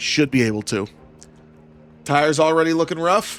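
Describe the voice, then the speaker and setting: With music in the background, a man speaks at a moderate pace with ordinary pitch variation. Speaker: gaming streamer. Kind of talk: live gameplay commentary. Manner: animated.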